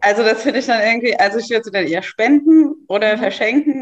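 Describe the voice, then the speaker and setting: A woman with a fairly high pitch. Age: 30s. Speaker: mother and social media creator. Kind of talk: casual chat.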